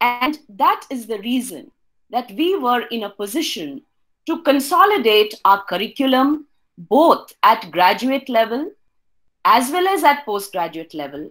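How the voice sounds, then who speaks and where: Her voice sits high for a woman and swings very widely in pitch. She talks at a fairly slow pace against a quiet background. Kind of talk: presentation talk. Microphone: webcam.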